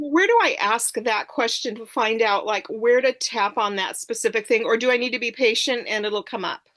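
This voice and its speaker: Hardly pausing, a woman speaks at a moderate pace. Her pitch is fairly high. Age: 60s. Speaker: program participant. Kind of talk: group coaching call. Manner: animated.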